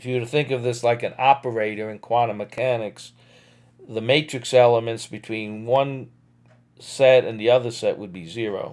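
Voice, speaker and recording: At a moderate pace, the voice comes through a very clean recording against a silent background. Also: man. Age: 60s. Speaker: physics lecturer. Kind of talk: lecture. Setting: live stream. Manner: halting, with many fillers.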